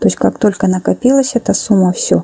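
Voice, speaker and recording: A woman is speaking, with noticeable background noise behind her. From Kazakhstan. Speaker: network marketing presenter. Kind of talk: explanatory sales pitch.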